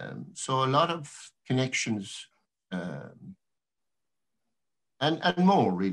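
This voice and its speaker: A man with a Cork accent talks at a very slow pace, leaving long, frequent pauses. His pitch swings very widely and his loudness rises and falls sharply against a quiet background. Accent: Irish, Cork. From Ireland. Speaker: poet. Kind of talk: talk between poems at a reading. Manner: casual, hesitant. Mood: warm, reflective. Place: home room. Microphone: webcam.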